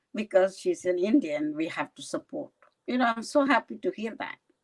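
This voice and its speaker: Speaking with vocal fry, a woman at fairly high pitch makes very wide pitch swings in a dry, close sound with no echo. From India, Kerala. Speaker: county legislator. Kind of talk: interview. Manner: halting.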